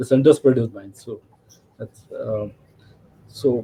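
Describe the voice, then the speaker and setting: The voice has a dark, mellow tone, somewhat breathy, delivered at a moderate pace. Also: man. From India. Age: 60s. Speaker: railway photographer and rail enthusiast. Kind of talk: interview.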